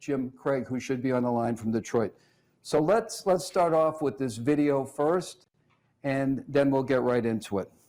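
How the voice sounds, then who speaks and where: A man's fairly high, dark, mellow voice at a fairly slow pace, in a Boston accent. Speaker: police research forum director, host. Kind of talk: video town hall moderation. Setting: video call from office.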